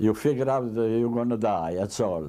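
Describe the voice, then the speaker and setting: A man talks at a moderate pace. His dark, mellow tone carries lively intonation. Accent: Italian. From Italy. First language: Italian. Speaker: immigrant tailor. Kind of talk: interview testimony.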